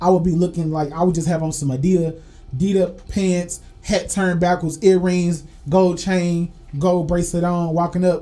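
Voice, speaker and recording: With music playing in the background, a man speaks in an animated tone at a high pitch. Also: moderate pace. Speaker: podcast co-host. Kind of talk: casual chat.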